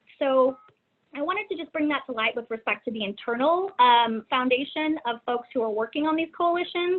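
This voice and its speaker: Lively intonation marks a woman speaking with a Texan accent. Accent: Texas American English. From Texas, San Antonio. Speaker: domestic violence policy coordinator. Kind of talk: webinar presentation. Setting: online webinar. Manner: halting, many fillers.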